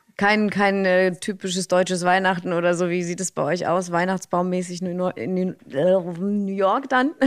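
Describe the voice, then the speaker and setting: A woman's plain, everyday voice, medium in pitch, fairly even in intonation, fairly slow, with hardly any pauses. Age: 30s. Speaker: radio host. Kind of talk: interview.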